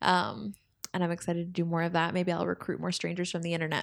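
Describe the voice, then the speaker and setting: The recording is very clean, and the background is silent. In it, a woman speaks at a very fast pace. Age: 20s. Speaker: podcast host. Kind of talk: casual chat. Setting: home studio.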